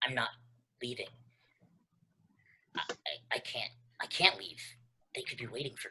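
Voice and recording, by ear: This put-on character voice has a bright, sharp tone with a husky, rough edge and vocal fry. It moves at a moderate pace with big pitch swings.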